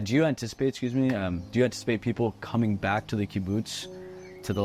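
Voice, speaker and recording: Against music in the background, a man talks with fairly even intonation. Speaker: interviewer, podcast host. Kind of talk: interview question.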